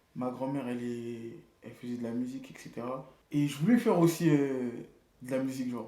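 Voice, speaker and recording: A man's medium-pitched voice, fairly quick, with ordinary pitch variation and audible room echo. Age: 20s. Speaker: barber and artistic director. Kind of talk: casual interview. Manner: casual slangy.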